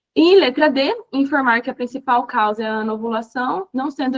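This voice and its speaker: Her pitch is high for a woman, and she speaks at a moderate pace with ordinary pitch variation. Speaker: physician teaching exam review. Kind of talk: online lecture.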